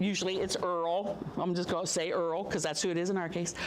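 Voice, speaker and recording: Audible room echo and noticeable background noise surround the recording. A woman speaks in an animated tone at a fairly quick pace. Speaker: amateur radio operator giving a talk. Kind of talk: public talk to an audience.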